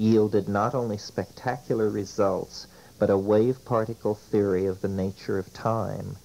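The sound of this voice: The reading voice here is unforced. Nothing about it is pushed.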